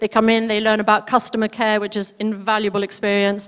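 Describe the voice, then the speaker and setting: The woman's intonation is monotone and flat. She talks at a fairly quick pace. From Spain. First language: Spanish. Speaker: charity worker. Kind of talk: charity presentation. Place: hall. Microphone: handheld.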